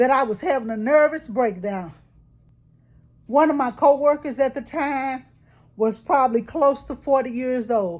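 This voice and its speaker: In a very clean recording with a silent background, a woman speaks at a fairly slow pace in a high pitch, her tone animated and intonation lively. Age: 60s. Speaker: vlogger. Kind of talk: casual monologue vlog.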